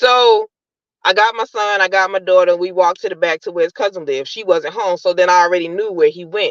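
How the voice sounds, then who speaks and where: Here a woman uses an unremarkable speaking voice at a medium pitch with ordinary pitch variation. She talks at a fairly quick pace, and the sound is dry and close with no echo. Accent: American. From New York, Brooklyn. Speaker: caller. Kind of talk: personal testimony.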